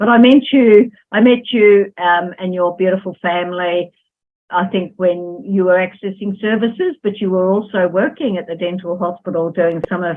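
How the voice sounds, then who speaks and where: A woman's fairly low voice with an Australian accent. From Australia, Melbourne. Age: 60s. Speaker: social worker. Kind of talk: interview.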